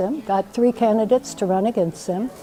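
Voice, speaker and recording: A woman with an American accent speaks with lively intonation over noticeable background noise. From US Deep South. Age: 70s. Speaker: political activist. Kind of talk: personal testimony.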